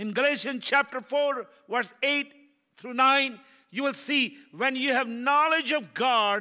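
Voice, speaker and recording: A man's raised, projected voice with an extremely high pitch, a bright, sharp and animated tone, ordinary pitch variation and a fairly slow pace. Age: 70s. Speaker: preacher. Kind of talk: sermon. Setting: church.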